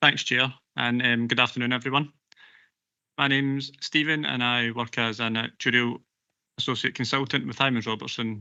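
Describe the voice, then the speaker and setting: In a Glaswegian accent, a man speaks at a fairly quick pace with a medium-pitched, bright, sharp tone. His intonation is fairly even, and the background is quiet. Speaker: pension actuarial consultant. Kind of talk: presentation at a council committee meeting. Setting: council committee meeting broadcast live.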